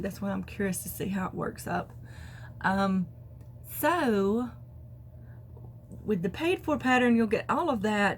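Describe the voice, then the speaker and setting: At a moderate pace, a woman speaks at medium pitch with very wide pitch swings. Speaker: crafting podcaster. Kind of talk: casual talk to camera.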